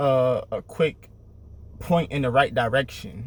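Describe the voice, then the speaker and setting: This man has a medium pitch, a somewhat breathy delivery and an American accent. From Syracuse, New York (US Northeast). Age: 30s. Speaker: motivational vlogger. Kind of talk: motivational talk. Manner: repetitive, emphatic.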